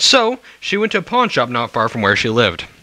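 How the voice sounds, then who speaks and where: A man at a fairly quick pace with very wide pitch swings, against noticeable background noise. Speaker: amateur storyteller reading while drinking. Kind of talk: drunken casual reading of scary stories with commentary.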